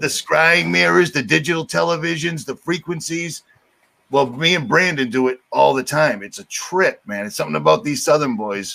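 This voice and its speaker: With a Boston accent, a man speaks in a bright, sharp tone at a fairly high pitch, his voice swinging very widely in pitch. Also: moderate pace. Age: 50s. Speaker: YouTube show host. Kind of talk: casual chat. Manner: animated.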